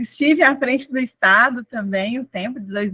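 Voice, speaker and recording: A woman's bright, sharp tone at a fairly slow pace, with ordinary pitch variation and a dry, close sound with no echo. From Brazil, northeast Minas Gerais near Bahia border. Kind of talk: testimony.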